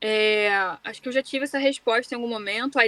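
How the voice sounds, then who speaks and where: A woman's normal speaking voice, fairly high and fairly quick, with fairly even intonation and a dry, close sound with no echo. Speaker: voice actress. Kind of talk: casual interview chat.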